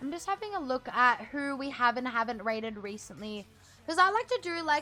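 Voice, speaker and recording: Music plays in the background as a woman speaks in a raised, projected voice at a high pitch. She talks at a fairly quick pace, her pitch swinging very widely. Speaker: streamer. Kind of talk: live stream chat. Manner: animated.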